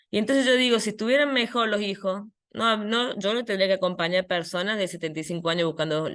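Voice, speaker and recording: A woman's medium-pitched voice with ordinary pitch variation over a quiet background. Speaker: psychologist, head of an identity rights program. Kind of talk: conference talk. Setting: online video conference. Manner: fast.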